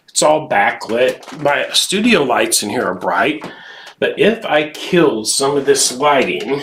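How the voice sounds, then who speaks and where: Against noticeable background noise, a man with a fairly high pitch speaks at a fairly slow pace with very wide pitch swings. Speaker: quilting instructor. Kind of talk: live tutorial. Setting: home studio live stream. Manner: casual, chatty.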